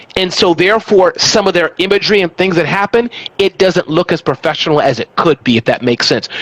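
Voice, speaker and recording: A man's high voice at a very fast pace, animated in tone with lively intonation, in a dry, close sound with no echo amid noticeable background noise. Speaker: small business expert and author. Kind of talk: interview conversation.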